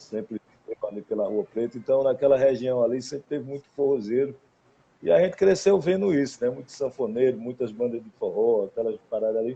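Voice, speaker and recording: A man with a medium-pitched voice speaks with lively intonation and big swings in loudness. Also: fairly quick pace. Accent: strong northeastern Brazilian. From Caruaru, Pernambuco, Brazil. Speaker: singer-songwriter. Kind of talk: casual interview chat.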